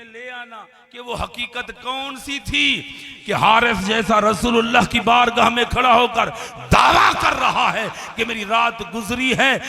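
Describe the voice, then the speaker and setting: Amid noticeable background noise, a man projects his raised voice at an extremely high pitch, monotone and flat, with big swings in loudness. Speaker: Islamic religious speaker. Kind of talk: Islamic sermon to a live audience. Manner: rhetorical, asks the audience questions.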